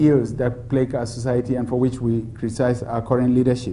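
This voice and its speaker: There is audible room echo around a man's somewhat breathy voice, which has a dark, mellow tone. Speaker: democracy expert. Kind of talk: public Q&A dialogue. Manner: soft-spoken.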